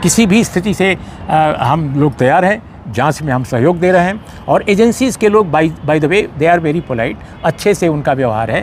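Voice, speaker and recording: His intonation is lively and his pitch fairly high. The man keeps a moderate pace. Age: 60s. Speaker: senior journalist. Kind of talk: interview. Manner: halting.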